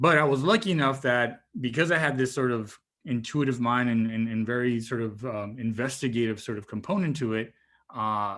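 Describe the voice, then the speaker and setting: A man speaks at a medium pitch with a Spanish accent and ordinary pitch variation. The recording is very clean, with a silent background. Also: moderate pace. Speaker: marine biologist, guest speaker. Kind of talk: talk to students. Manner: casual, with repeated fillers.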